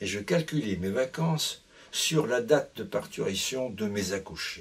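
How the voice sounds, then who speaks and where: Very wide swings in pitch from a somewhat breathy voice. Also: man. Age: 80s+. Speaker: retired family doctor and author. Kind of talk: book presentation, anecdotal storytelling. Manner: hesitant, with fillers and repetitions.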